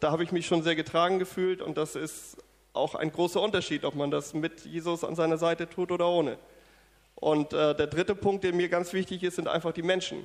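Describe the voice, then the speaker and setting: Delivery moves at a fairly quick pace. The intonation is monotone and flat. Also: man, high pitch for a man. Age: 40s. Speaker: church member giving testimony. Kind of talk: testimony. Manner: hesitant, many fillers.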